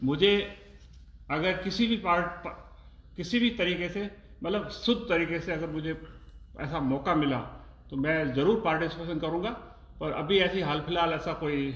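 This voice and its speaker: Amid noticeable background noise and audible room echo, a man with a high pitch speaks with long, frequent pauses. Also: ordinary pitch variation. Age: 60s. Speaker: oncologist doctor. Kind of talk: interview. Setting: live stream.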